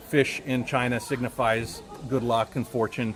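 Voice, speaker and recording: Against crowd noise in the background and audible room echo, a man speaks at a medium pitch. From United States. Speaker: travel YouTuber and tour host. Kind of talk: live-stream tour commentary. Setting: outdoors at a temple. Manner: loud; casual, with fillers and repetitions.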